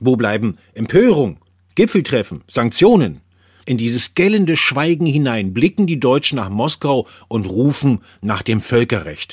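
In a very clean recording with a silent background and a dry, close sound with no echo, a man speaks at medium pitch and a fairly slow pace, his pitch swinging very widely. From Bavaria, Germany. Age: 50s. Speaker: correspondent and former radio presenter. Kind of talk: personal essay reading.

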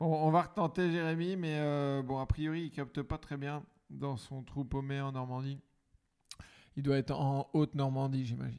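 A fairly high-pitched man at a fairly slow pace with long, frequent pauses and fairly even intonation, on a very clean recording with a silent background. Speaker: comedian podcast host. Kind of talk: casual chat.

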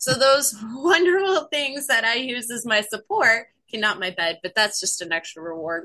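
An American-accented woman, fairly high in pitch, with very wide pitch swings at a moderate pace. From US Pacific Northwest. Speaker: recovering alcoholic, crochet artist. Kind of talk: interview, recovery story.

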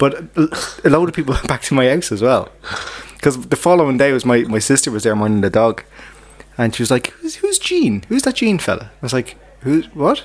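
A man talks at a fairly quick pace with an Irish accent. His pitch sits fairly high and his intonation is lively. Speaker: podcast co-host. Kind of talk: casual chat. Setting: pub.

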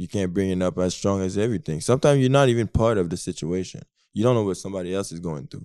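Very fast and lively in intonation, a man's fairly low, dark and mellow voice comes through a very clean recording with a silent background and a dry, close sound with no echo. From Quebec. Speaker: basketball player. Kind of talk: casual chat.

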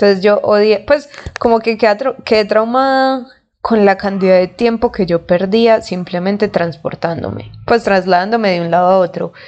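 A woman with a Colombian accent speaks at a moderate pace and medium pitch, with ordinary pitch variation. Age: 20s. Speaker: podcast host. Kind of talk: casual monologue.

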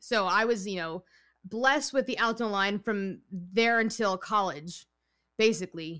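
On a very clean recording with a silent background, a woman speaks with a New York accent. Her tone is bright and sharp, and her pace is fairly slow. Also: medium pitch for a woman, ordinary pitch variation. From New York, Long Island. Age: 20s. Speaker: writer, composer and singer. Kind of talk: casual interview.

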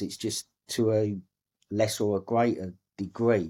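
A man with an English accent, a dark, mellow tone and fairly even intonation, on a very clean recording with a silent background. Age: 50s. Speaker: former Royal Marine and record-breaking ocean rower. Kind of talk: interview storytelling.

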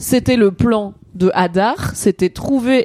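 In a very clean recording with a silent background, a woman's dark, mellow tone comes through dry and close with no echo. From Alsace, France. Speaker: content creator and streamer. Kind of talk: casual chat. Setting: live stream.

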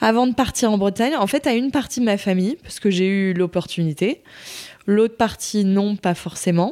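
Her tone is dark and mellow, at a medium pitch with ordinary variation. The woman speaks at a fairly slow pace. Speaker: pregnant woman sharing her co-parenting story. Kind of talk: testimony. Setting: recorded at the host's home.

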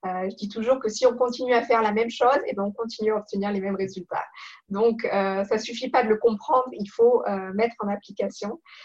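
A woman's unremarkable speaking voice, fairly high in pitch, at a fairly quick pace with fairly even intonation. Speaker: professional coach. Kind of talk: interview.

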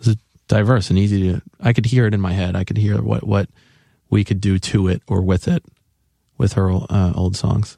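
A man with an unremarkable speaking voice talks at a moderate pace with fairly even intonation, the sound dry and close with no echo. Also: fairly low pitch for a man. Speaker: musician and bandmate. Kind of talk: casual interview chat.

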